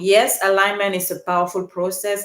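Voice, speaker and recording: A woman's medium-pitched voice with a Cameroonian accent. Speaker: podcast coach and speaker. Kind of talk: live stream monologue. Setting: live stream.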